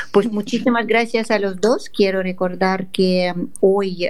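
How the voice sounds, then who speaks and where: A woman with a Russian accent speaks in a room with audible echo. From Russia, Moscow. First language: Russian (speaking Spanish). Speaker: radio host. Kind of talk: radio interview.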